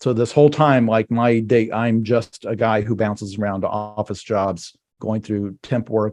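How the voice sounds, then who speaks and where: In a plain, everyday voice, the speaker goes at a moderate pace with hardly any pauses and fairly even intonation against a quiet background. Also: man, medium pitch for a man. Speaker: novelist. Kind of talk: casual interview chat.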